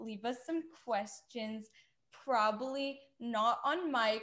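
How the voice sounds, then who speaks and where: This woman has a high pitch. Her intonation stays fairly even. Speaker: podcast co-host. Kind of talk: casual chat.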